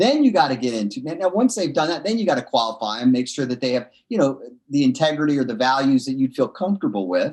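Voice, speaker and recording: A man's animated, fairly high voice at a very fast pace, with lively intonation. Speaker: entrepreneur. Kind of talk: interview.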